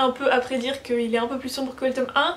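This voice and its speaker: A woman speaks at a moderate pace with a high pitch. Noticeable background noise is present. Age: 20s. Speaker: book YouTuber. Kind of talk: casual vlog talk. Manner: casual, hesitant with fillers.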